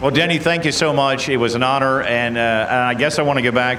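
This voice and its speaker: Noticeable background noise and audible room echo surround a man with an American accent. He talks at a very fast pace with ordinary pitch variation. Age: 60s. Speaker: race track announcer. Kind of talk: PA interview at race track.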